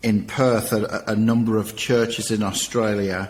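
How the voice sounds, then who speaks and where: The man speaks at a fairly slow pace and fairly low pitch. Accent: English. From England. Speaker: nonprofit director and former youth pastor. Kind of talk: interview testimony.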